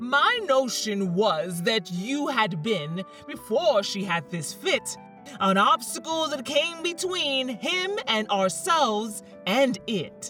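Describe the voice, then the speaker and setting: Over clear background music, a woman in a put-on character voice speaks very slowly, shrill and fairly high-pitched, with very wide pitch swings. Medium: read story. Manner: respectful.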